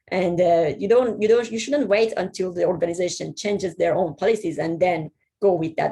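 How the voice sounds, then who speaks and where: A woman's dark, mellow tone comes out somewhat breathy as she talks at a moderate pace. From Iran. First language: Persian. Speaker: software/security professional. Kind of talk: presentation talk. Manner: halting, many repetitions.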